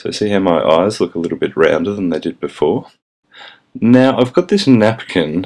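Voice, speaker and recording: A man speaks with an Australian accent at a fairly low pitch. His intonation is lively. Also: moderate pace. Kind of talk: comedic makeup tutorial voice-over.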